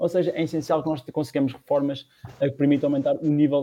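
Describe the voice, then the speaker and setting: This man's tone is dark and mellow. He talks at a very fast pace. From Portugal, Batalha (Leiria district). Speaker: political discussion show host. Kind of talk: political discussion. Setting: online livestream.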